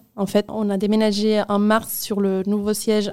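At a fairly slow pace, a woman speaks with medium pitch, a dark, mellow tone and monotone, flat intonation. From Spain, Barcelona (Catalonia). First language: Spanish/Catalan (speaking French). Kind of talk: interview testimony.

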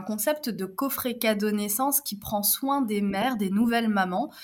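Here is a woman with a plain, everyday voice. Her pitch is fairly high and varies in an ordinary way. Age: 30s. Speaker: entrepreneur. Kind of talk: interview.

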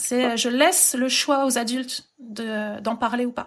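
The woman speaking has a high pitch. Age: 30s. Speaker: children's book publisher and author. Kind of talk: casual interview. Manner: hesitant, many fillers.

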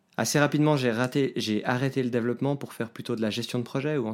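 It's a plain, everyday voice from a man, with fairly even intonation. He goes at a fairly quick pace. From Switzerland, Geneva. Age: 30s. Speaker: IT team manager. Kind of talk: podcast interview.

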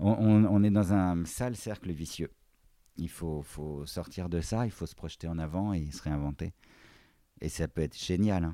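Very deep and low in pitch, this man's voice has a dark, mellow tone, ordinary pitch variation, and a fairly slow pace broken by long, frequent pauses. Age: 40s. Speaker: handbag designer. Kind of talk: casual chat. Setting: in his offices and workshops.

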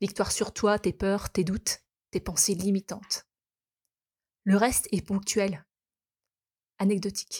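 A woman's somewhat breathy, medium-pitched voice at a very slow pace, with long, frequent pauses and monotone, flat intonation, on a very clean recording with a silent background. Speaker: podcast host and kinesiology therapist. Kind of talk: personal monologue. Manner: reflective.

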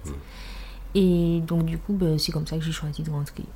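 Against noticeable background noise, a woman with a fairly low voice speaks with fairly even intonation. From Martinique. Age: 20s. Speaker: dance teacher. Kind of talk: casual interview. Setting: at home.

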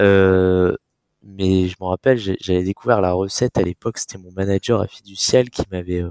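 A man speaks with a very deep, low voice and monotone, flat intonation. His loudness swings widely, and the sound is dry and close, with no echo. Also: moderate pace. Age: 20s. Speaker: product manager. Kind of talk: casual interview.

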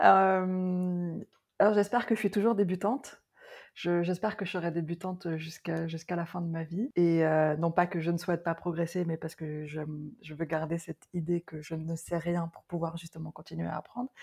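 On a very clean recording with a silent background, a woman with an unremarkable speaking voice talks at a moderate pace in a fairly low pitch, her intonation fairly even but her loudness swinging widely. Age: 40s. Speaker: Ayurveda consultant. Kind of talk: casual interview.

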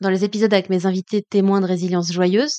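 A woman speaks at a fairly quick pace with a medium pitch and a dark, mellow tone, recorded dry and close with no echo against a quiet background. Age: 30s. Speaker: podcast host and coach. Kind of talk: personal monologue.

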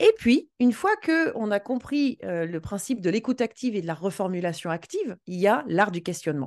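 A woman speaks at a medium pitch and a moderate pace, with hardly any pauses. Her pitch swings very widely. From western France. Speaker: sales coach and trainer. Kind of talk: interview. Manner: animated.

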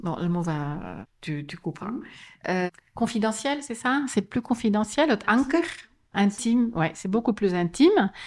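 On a very clean recording with a silent background, a woman with a slight Flemish accent talks very slowly at a fairly high pitch, her voice making very wide pitch swings. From Flanders, Belgium (West Flanders, schooled in Antwerp). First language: Dutch (Flemish) (speaking French). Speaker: tourism board representative. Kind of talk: interview. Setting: office.

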